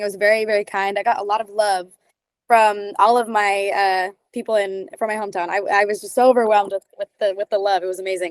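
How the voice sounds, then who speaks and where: A woman speaks with a fairly high pitch. The sound is dry and close, without echo. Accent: Californian. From Southern California, San Diego area. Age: 18. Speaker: singer, TV talent show contestant. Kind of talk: interview.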